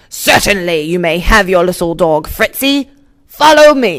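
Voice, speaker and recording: A put-on character voice growls at middle pitch. The pace is fairly slow. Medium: read story. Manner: theatrical, booming.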